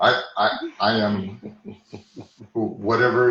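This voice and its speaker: The speaker has an American accent, and room echo is audible. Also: man. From Texas. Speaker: hypnotherapist. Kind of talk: podcast interview. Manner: halting.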